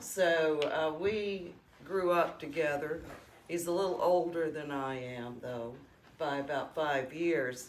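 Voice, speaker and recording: A woman speaks very slowly in a Southern US accent. Her pitch is very deep and low, with ordinary pitch variation. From Alabama. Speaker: oral history interviewer. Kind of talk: interview questions and reminiscence.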